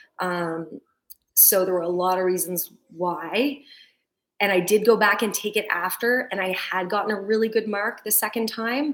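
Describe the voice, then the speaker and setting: This woman has a normal speaking voice at medium pitch. She talks at a moderate pace with ordinary pitch variation. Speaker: physiotherapist. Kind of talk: interview conversation.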